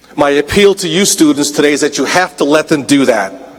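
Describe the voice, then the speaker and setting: A man talks at a fairly quick pace in a fairly high pitch. Noticeable background noise is present. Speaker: college dean and commencement speaker. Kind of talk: convocation speech. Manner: formal.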